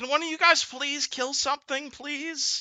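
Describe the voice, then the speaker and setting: A put-on character voice pitched high. It moves at a moderate pace. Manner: calm, otherworldly.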